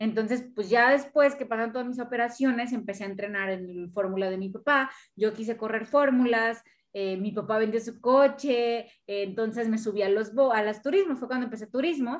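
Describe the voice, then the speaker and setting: This is a plain, everyday voice at a moderate pace. The pitch varies in an ordinary way. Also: woman, fairly high pitch for a woman. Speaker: podcast host and racing driver. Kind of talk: casual interview chat.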